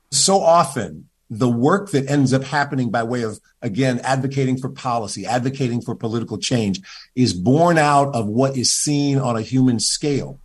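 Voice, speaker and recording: The voice is somewhat breathy, with an American accent. The pace is moderate and the pitch variation ordinary. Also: man, medium pitch for a man. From US Midwest, Cleveland, Ohio. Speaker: pastor and former government official. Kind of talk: interview.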